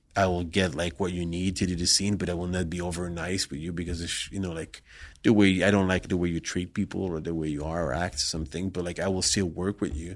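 In a very deep, low voice, a man with a non-native accent speaks at a very fast pace with hardly any pauses and monotone, flat intonation, on a very clean recording with a silent background. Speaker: adult film director. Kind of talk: casual interview. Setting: studio. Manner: halting.

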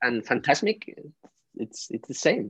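A man with a Spanish accent uses lively intonation, recorded with a dry, close sound, no echo, and a quiet background. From Spain. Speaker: fan and podcast supporter. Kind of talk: casual chat. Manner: halting, emotional.

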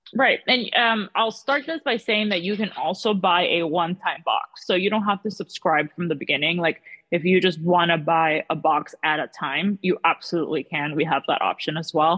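A woman with a fairly low pitch and an ordinary speaking voice talks at a moderate pace with ordinary pitch variation and hardly any pauses. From South Florida (Miami), born in Peru. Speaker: small business founder. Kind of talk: interview.

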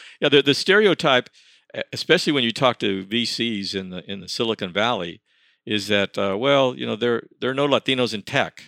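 Recorded very cleanly against a silent background, with a dry, close sound and no echo, a man speaks at a medium pitch in a bright, sharp tone, with lively intonation and big swings in loudness. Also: moderate pace. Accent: American. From El Paso, Texas. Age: 80s+. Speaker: academic researcher. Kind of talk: interview. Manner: halting.

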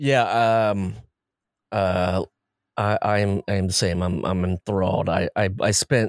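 A man with an American accent speaks very slowly at a fairly low pitch, his intonation fairly even. The recording is very clean with a silent background and a dry, close sound with no echo. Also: very even loudness. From Ohio, US Midwest. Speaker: podcast host. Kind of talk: casual chat. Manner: halting, many fillers.

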